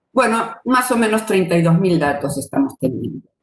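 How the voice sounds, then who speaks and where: This is an ordinary speaking voice. Its intonation is lively and its pace fairly quick. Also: woman. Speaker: retired mathematics professor. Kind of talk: lecture.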